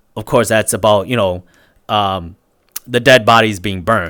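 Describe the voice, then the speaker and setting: A man with a non-native accent talks at a fairly low pitch in a very clean recording with a silent background. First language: not English. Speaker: streamer. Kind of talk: casual chat. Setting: live stream. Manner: halting.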